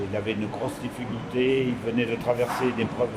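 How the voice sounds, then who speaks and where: A man speaks at medium pitch. Noticeable background noise runs underneath. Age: 60s. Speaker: supermarket manager and mentor. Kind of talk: interview testimony.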